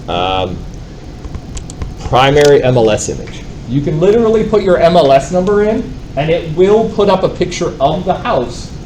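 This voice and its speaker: A man talks loudly in a high voice with lively intonation and long, frequent pauses. There is audible room echo along with noticeable background noise. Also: moderate pace. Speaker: real estate software trainer. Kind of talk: live training class.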